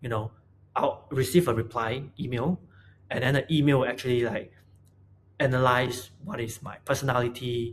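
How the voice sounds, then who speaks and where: The speaker sounds somewhat breathy, keeping a moderate pace and ordinary pitch variation. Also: man. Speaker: product designer. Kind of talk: casual talk to camera. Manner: stuttering, hesitant.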